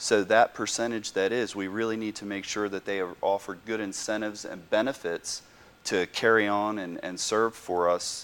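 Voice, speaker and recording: The delivery moves at a moderate pace with fairly even intonation and hardly any pauses. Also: man. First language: German. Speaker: political candidate. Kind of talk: interview. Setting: TV studio.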